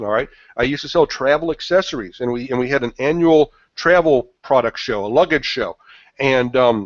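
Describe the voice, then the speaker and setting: Speaking fairly quickly, a man varies his pitch in an ordinary way. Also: medium pitch for a man. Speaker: marketing consultant presenting a webinar. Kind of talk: webinar presentation. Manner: fast.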